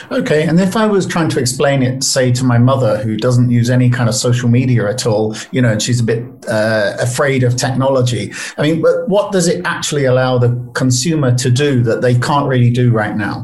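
With a British accent, a man speaks fairly quickly and with hardly any pauses at a medium pitch, showing ordinary pitch variation and very even loudness amid noticeable background noise and audible room echo. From UK. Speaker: podcast host, writer and analyst. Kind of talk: interview.

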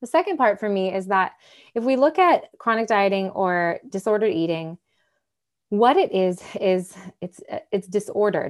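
A woman with an American accent has a plain, everyday voice at a medium pitch, speaking at a moderate pace with ordinary pitch variation. The recording is very clean, with a silent background. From US Midwest, Michigan. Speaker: dating and embodiment coach. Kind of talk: casual interview.

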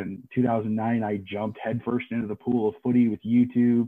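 A man speaks at medium pitch with a Midwestern American accent. His intonation is monotone and flat. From Des Moines, Iowa. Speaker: Australian rules football coach. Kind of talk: casual sports interview. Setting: online call.

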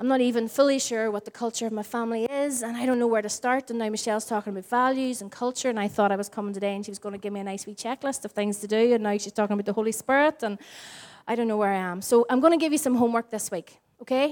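In a Northern Irish accent, a woman talks at a very fast pace with a fairly high pitch and fairly even intonation on a very clean recording with a silent background. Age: 40s. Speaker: pastor. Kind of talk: sermon. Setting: church.

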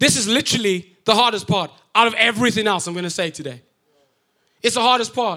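A bright, sharp tone marks this raised, projected voice. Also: man. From Africa. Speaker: pastor. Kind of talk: sermon. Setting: church.

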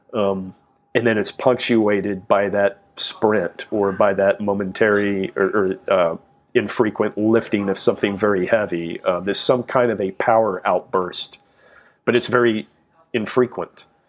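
Delivered at a fairly slow pace, an unremarkable speaking voice keeps a fairly even intonation. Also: man, fairly low pitch for a man. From South Texas. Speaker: fitness entrepreneur and trainer. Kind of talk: interview.

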